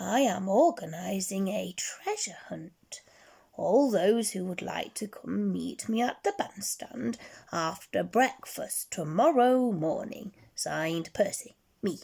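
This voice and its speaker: A female-sounding put-on character voice comes out raspy at a middle pitch and a fairly slow pace. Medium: read story. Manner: warm, friendly.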